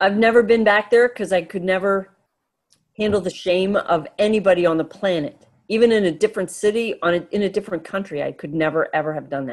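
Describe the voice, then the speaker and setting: A woman speaks at a very fast pace with an American accent. Her pitch sits in the medium range. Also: ordinary pitch variation. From Pennsylvania, Poconos. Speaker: podcast panelist, storyteller. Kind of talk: storytelling. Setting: video call.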